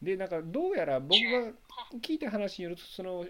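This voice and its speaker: At a moderate pace, a man speaks in a high pitch. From Kansai, Japan. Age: 30s. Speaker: association chairman, podcast host. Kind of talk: casual chat; news reading. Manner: animated.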